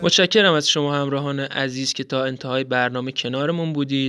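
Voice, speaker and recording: The voice has a bright, sharp tone, fairly even intonation, and a moderate pace. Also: man. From Iran. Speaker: podcast host. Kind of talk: scripted narration.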